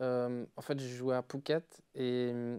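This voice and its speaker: Medium-pitched male voice in a Liège accent, dark and mellow in tone. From Belgium, Liège; Belgium. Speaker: DJ; guest. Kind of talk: casual chat. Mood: relaxed, smiling storytelling. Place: studio. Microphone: lapel.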